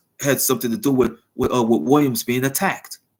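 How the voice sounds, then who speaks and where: A man's voice at a medium pitch. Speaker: wrestling commentary streamer. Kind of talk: casual livestream recap. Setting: live stream. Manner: repetitive, halting; soft-spoken inside voice.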